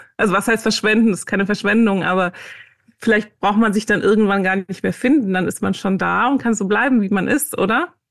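In an ordinary speaking voice, a woman talks at a fairly quick pace in a medium pitch. The background is quiet. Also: ordinary pitch variation. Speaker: author and meditation teacher. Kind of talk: interview.

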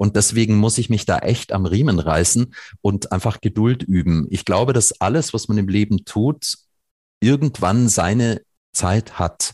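A man with a dark, mellow tone and fairly low pitch speaks at a fairly slow pace, with ordinary pitch variation, very even loudness and a dry, close sound with no echo. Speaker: nonprofit environmental organization founder. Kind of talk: podcast interview.

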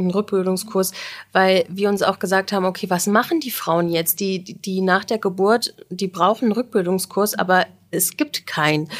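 A woman talks at a moderate pace and medium pitch in an unremarkable speaking voice. The recording is very clean, with a silent background. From Germany, Göttingen (Lower Saxony). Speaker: midwife. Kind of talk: casual interview chat.

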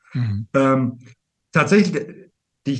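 This man has a normal speaking voice with a fairly high pitch. He talks at a fairly slow pace. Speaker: business coach. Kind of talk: casual interview.

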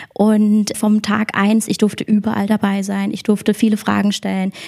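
A woman speaks with a fairly high pitch in a dark, mellow tone that is somewhat breathy. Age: 20s. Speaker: online marketing employee and student. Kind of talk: interview. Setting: company office.

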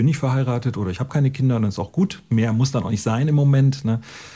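Talking at a very fast pace, a man with a dark, mellow tone sounds somewhat breathy, with ordinary pitch variation. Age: 50s. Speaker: teacher. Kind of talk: testimony. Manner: casual.

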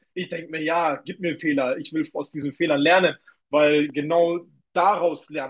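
The tone is energetic, delivered at a moderate pace with ordinary pitch variation. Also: man. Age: 20s. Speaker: kickboxer and young entrepreneur. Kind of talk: casual interview.

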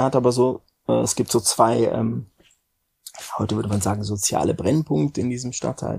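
A man with a dark, mellow, somewhat breathy voice at medium pitch talks at a moderate pace, using ordinary pitch variation and long, frequent pauses. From Frankfurt, Germany. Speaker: music industry executive. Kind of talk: interview. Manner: halting, many fillers.

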